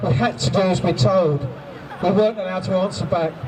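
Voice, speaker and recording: There is noticeable background noise. Over it, a man with a high pitch speaks with lively intonation. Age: 60s. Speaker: abuse survivor and campaigner. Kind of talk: testimony. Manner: halting, repeating words.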